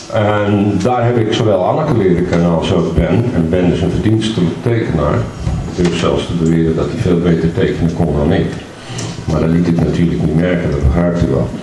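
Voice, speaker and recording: At a fairly quick pace, a man talks in a very deep, low pitch with ordinary pitch variation and very even loudness. Audible room echo and light background noise are present. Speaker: speaker. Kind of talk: speech.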